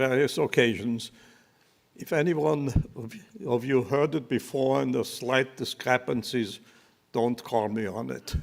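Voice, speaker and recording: A man with a German accent talks at a medium pitch. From Austria (Leoben, later Vienna). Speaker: Holocaust survivor. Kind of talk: testimony. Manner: halting.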